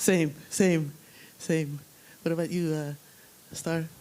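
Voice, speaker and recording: This woman has a dark, mellow tone and a fairly low pitch. Her intonation is monotone and flat. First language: not English. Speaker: panel moderator. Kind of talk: panel discussion.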